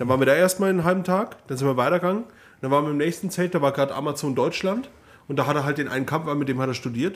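A man with a fairly high pitch speaks at a very fast pace, with ordinary pitch variation. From Upper Palatinate (Neumarkt). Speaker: podcast co-host. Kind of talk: casual chat.

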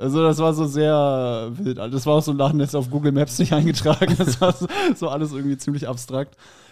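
A man's fairly high voice carries a dark, mellow tone and fairly even intonation. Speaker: comedian. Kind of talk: casual chat.

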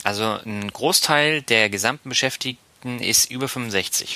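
The man's voice sits at a medium pitch with a bright, sharp tone. He talks at a fairly slow pace with ordinary pitch variation. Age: 30s. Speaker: podcast host, marketing professional. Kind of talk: casual chat.

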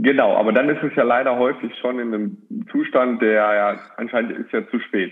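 Pitched in the medium range, this man has a normal speaking voice and keeps a moderate pace. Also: ordinary pitch variation. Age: 40s. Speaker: sports scientist. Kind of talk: casual podcast interview. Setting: at home.

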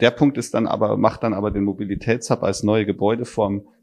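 With fairly even intonation, a man talks in a fairly low voice. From Bavaria, southern Germany. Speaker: architect and startup CEO. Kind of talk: interview. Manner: halting, many fillers.

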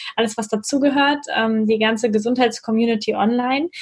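A woman with a fairly high pitch has a plain, everyday voice and ordinary pitch variation. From northern North Rhine-Westphalia, Germany. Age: 30s. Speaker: physiotherapist. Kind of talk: interview.

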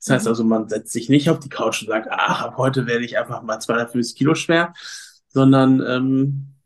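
This man uses a plain, everyday voice, medium in pitch and moderate in pace. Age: 30s. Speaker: fitness coach and former reality TV participant. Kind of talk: casual interview.

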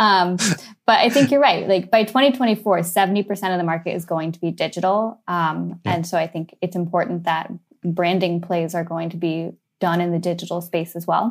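On a very clean recording with a silent background, a woman with a Californian accent talks at a moderate pace, her fairly low pitch showing ordinary pitch variation. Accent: Californian American. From US, San Francisco. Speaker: advertising agency executive. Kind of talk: interview.

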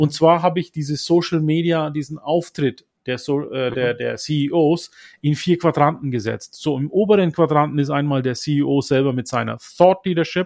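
A man with a Franconian accent and a fairly high pitch speaks against a quiet background. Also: ordinary pitch variation, moderate pace. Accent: Franconian, rolled R. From Upper Franconia, northern Bavaria (Germany), Turkish parents. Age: 50s. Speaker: social media consultant and coach. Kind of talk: interview.

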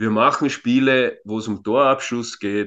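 A man speaks in an unremarkable speaking voice at a medium pitch, with fairly even intonation. His pace is fairly slow, and the background is quiet. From Austria, Vienna area. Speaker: youth football coach. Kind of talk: interview. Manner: frequent filler words.

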